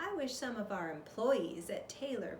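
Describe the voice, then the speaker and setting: A woman does a put-on character voice, high-pitched, with very wide pitch swings at a moderate pace over clear background noise. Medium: read story. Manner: purring, self-satisfied.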